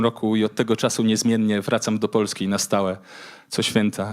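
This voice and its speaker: On a very clean recording with a silent background, a man with a Polish accent speaks at a fairly quick pace. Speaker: spoken word poet. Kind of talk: poetry reading.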